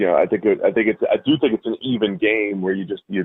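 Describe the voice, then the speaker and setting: Very fast talking from a man with an American accent. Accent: Boston accent, comes out occasionally. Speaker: football analyst. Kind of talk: radio interview.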